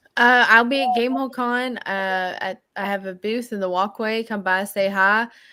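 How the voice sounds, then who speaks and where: A woman in a Southern US accent, bright and sharp in tone, fairly high in pitch, with fairly even intonation, a moderate pace and hardly any pauses, in a very clean recording with a silent background. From Tennessee. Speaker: game designer. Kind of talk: casual chat.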